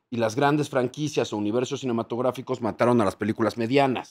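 The man's pitch varies in an ordinary way. He speaks fairly quickly against a quiet background. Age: 40s. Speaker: TV presenter. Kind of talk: casual chat. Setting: hotel. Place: studio. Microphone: studio mic.

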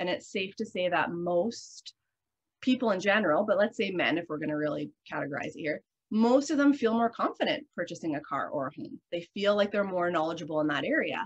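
A woman with a Canadian accent talks at a fairly quick pace. Her intonation is lively. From Canadian Prairies. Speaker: guest. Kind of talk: casual interview. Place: home room. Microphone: video call.

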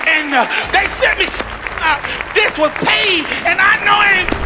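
Music can be heard behind a man as he talks. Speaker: preacher. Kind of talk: sermon. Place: church. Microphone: handheld.

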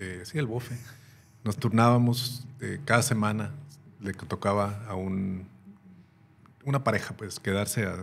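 Over light background noise, a man with a fairly low, somewhat breathy voice talks at a fairly slow pace with ordinary pitch variation and long, frequent pauses. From Mexico. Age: 60s. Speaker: former military officer and police chief; podcast guest. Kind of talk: interview. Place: studio. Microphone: studio mic.

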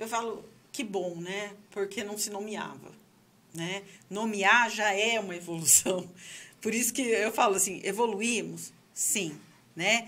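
Speaking very slowly with long, frequent pauses, a woman keeps her intonation fairly even and her tone bright and sharp. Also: medium pitch for a woman. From Brazil. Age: 40s. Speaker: sexologist and psychology professor; psychology professor. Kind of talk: casual chat. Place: studio. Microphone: studio mic.

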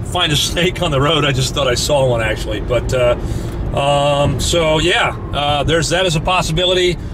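A man talks with ordinary pitch variation. Noticeable background noise can be heard. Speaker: reptile hunting vlogger. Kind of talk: casual vlog chat. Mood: cheerful, upbeat. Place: car. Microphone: phone near.

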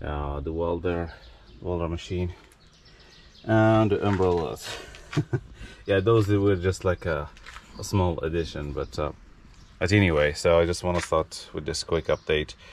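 With a very deep, low pitch and ordinary pitch variation, a man speaks at a fairly slow pace with long, frequent pauses, in a dry sound with no echo and light background noise. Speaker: storage unit reseller vlogger. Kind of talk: casual vlog chat. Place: street. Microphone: phone near.

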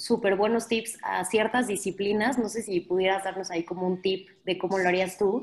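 A woman talks at a moderate pace. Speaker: moderator. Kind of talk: audience Q&A. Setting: video call. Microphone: video call.

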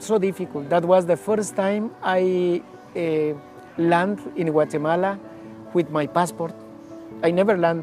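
Clear music plays in the background as a man speaks at a fairly slow pace in a dry sound with no echo. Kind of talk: interview answer. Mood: reflective, emotional story. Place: garden. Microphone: lapel.

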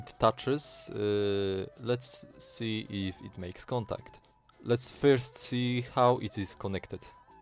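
Over music in the background, a man with a Polish accent talks at a very slow pace with big swings in loudness. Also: medium pitch for a man, fairly even intonation. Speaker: retro tech hobbyist. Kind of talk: casual tech video narration. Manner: hesitant, with filler sounds.

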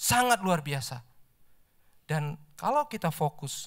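A man has a plain, everyday voice with lively intonation. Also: quiet background. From Indonesia. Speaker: lay preacher, office employee; lay preacher. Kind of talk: sermon. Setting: church service. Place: church. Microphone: handheld.

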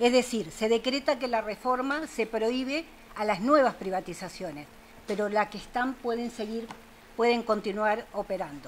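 Over light background noise, a woman with an unremarkable speaking voice talks at a moderate pace, her fairly high pitch moving in an ordinary way. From Uruguay. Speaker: water rights activist; speaker. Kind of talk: panel talk. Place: meeting room.

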